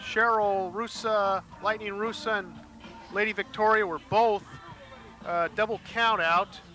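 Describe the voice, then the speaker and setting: A man's raised, projected voice, high in pitch and monotone, flat in intonation, at a fairly slow pace with long, frequent pauses over music in the background. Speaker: wrestling co-commentator and ring announcer. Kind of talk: live wrestling commentary, ring announcing.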